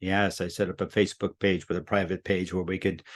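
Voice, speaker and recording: Against a quiet background, a man with a very deep, low pitch talks at a fairly quick pace, in a dry, close sound with no echo. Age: 80s+. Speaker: teacher of human potential. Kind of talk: monthly teaching talk. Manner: casual, conversational.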